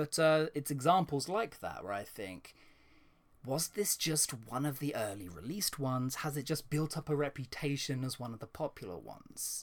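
Here a man with an unremarkable speaking voice talks at a moderate pace in a fairly high pitch. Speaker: YouTuber. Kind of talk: casual interview chat.

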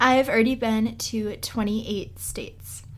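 A woman at a fairly high pitch, with audible room echo. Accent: American. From US Northeast, Boston. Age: 20s. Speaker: podcast host, travel blogger. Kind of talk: casual solo podcast monologue. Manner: chatty, conversational.

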